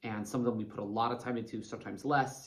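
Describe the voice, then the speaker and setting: A man talks at a very fast pace. The room gives off an audible echo. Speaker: life coach. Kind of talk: motivational talk to camera. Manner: animated.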